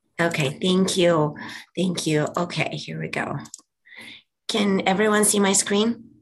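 Speaking at a fairly slow pace with long, frequent pauses, a woman uses a medium pitch, ordinary pitch variation, and vocal fry. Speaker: physician reporting to a board. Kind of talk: board meeting report.

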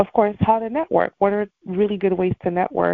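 A woman's normal speaking voice at a moderate pace, with fairly even intonation. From Montreal, Canada. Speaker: real estate agent. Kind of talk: motivational talk. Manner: casual, frequent fillers.

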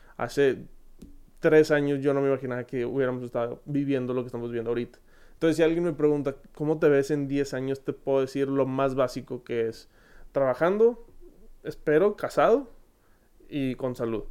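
Dark, mellow voice in a Monterrey accent, fairly quick, with ordinary pitch variation. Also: man, fairly high pitch for a man. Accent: Monterrey (regio). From Monterrey, Mexico. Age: 20s. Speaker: podcast host. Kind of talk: casual Q&A monologue.

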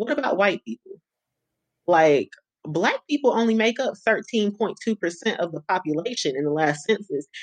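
A woman speaks at a medium pitch and moderate pace, with very wide pitch swings and long, frequent pauses. The sound is dry and close with no echo. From Greensboro, North Carolina. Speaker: field organizer. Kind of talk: interview.

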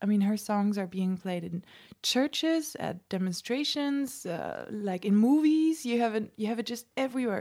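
A woman's fairly high voice with a Dutch accent at a fairly slow pace, on a very clean recording with a silent background. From Netherlands. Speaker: musician. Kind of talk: interview. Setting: home studio.

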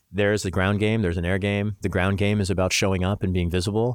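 On a very clean recording with a silent background, a man with an American accent talks at a very fast pace in a monotone, flat intonation. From US Midwest, Missouri. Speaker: congressional candidate and lawyer. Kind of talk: interview.

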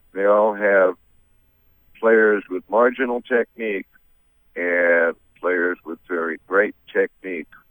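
A man with an American accent speaks at a very slow pace. His pitch is fairly low and his intonation fairly even. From Massachusetts, US. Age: 70s. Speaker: blues musician. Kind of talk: radio interview.

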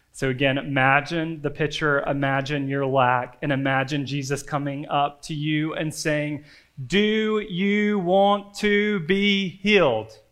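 The man speaks fairly slowly with a fairly high pitch and ordinary pitch variation. Audible room echo surrounds his voice. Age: 30s. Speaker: campus ministry pastor. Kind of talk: sermon. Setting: church.

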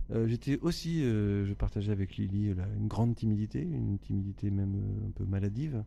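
The intonation is lively and the pace fairly quick. Noticeable background noise runs underneath. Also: man, fairly low pitch for a man. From France (Le Havre, Normandy). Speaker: singer-songwriter. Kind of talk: interview.

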